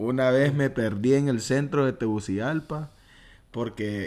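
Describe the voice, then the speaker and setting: An unremarkable speaking voice moves with lively intonation. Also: man. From Honduras, Choluteca. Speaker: podcast host. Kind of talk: casual chat.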